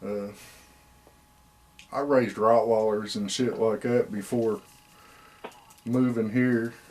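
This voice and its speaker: With music in the background, a man speaks at a medium pitch and a fairly slow pace. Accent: American. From Indiana. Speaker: hound breeder. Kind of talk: interview. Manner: casual.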